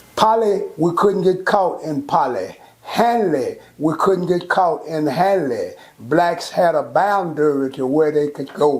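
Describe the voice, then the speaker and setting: Over noticeable background noise, the speech moves at a very slow pace with ordinary pitch variation. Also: man. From Texas, Fort Worth. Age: 70s. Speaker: community elder and mentor. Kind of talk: interview.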